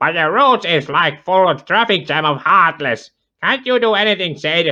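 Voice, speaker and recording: Putting on a character voice, a man talks at a moderate pace with a high pitch. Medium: read story. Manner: excitable, loud.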